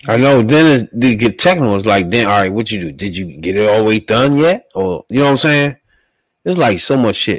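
A plain, everyday voice from a man with an American accent, medium pitch and lively intonation, at a moderate pace, in a very clean recording with a silent background and a dry, close sound with no echo. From Washington DC area. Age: 40s. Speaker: podcast host. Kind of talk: casual chat.

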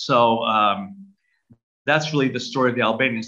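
Speaking fairly quickly with a Brooklyn accent, a man uses a bright, sharp tone at a medium pitch with ordinary pitch variation. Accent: American, close to a Brooklyn-born host's. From US Northeast, Brooklyn, New York City. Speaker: Orthodox archbishop. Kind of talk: interview.

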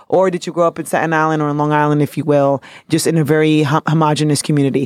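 A woman with a New York accent speaks very fast in a very deep, low voice, recorded dry and close with no echo, very clean and against a silent background. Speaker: podcast co-host. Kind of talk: casual chat. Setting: studio. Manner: animated.

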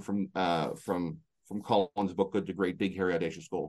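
A man with a Canadian accent, a plain, everyday voice, moderate pace and ordinary pitch variation. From Canada, rural. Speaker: motivational speaker and coach. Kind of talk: interview. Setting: remote call.

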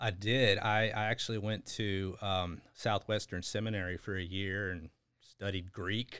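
In an American accent, a man with a fairly low pitch speaks at a fairly slow pace with monotone, flat intonation. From Texas (San Antonio, Houston). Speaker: school district administrator. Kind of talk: interview.

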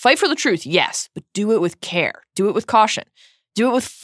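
The voice reads in an unforced way. The background is quiet.

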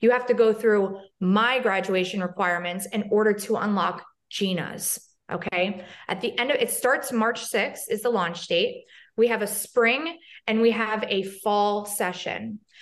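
A woman with a normal speaking voice talks at a fairly slow pace. Her pitch is fairly high, with ordinary variation. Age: 30s. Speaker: hairstylist and social media educator. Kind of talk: casual chat.

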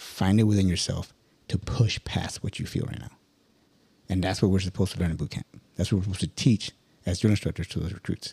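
A man talks very fast in a very deep, low, somewhat breathy voice with a dark, mellow tone and fairly even intonation, pausing long and often. The sound is dry and close, with no echo. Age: 40s. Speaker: Marine senior enlisted. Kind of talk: casual chat.

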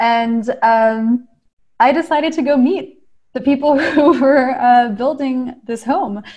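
Speaking very slowly, a woman uses a high-pitched voice. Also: ordinary pitch variation. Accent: American. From US, Maryland. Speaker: clean energy startup co-founder. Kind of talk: interview. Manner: hesitant, many fillers.

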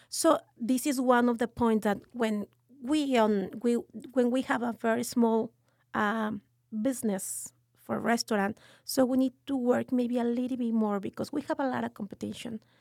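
Recorded with a dry, close sound and no echo, a woman with a Mexican accent speaks at a moderate pace, her pitch fairly high and her intonation fairly even. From Mexico City, Mexico. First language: Spanish. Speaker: restaurant owner. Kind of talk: casual interview.

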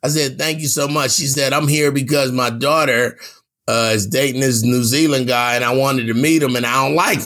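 Bright and sharp in tone, a man's medium-pitched voice moves at a fairly quick pace with fairly even intonation. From Los Angeles, California. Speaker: radio host and comedian. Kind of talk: casual interview. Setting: home studio.

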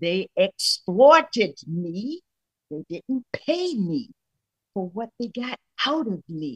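Speaking at a very slow pace, a woman with a fairly high, somewhat breathy voice makes very wide pitch swings in a dry, close sound with no echo. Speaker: call-in participant. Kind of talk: testimony. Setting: video call.

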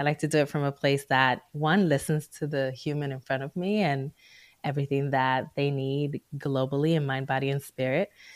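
A woman at a very deep, low pitch, fairly even intonation, dry, close sound with no echo. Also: moderate pace, very clean recording, silent background. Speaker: psychologist. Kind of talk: casual interview chat.

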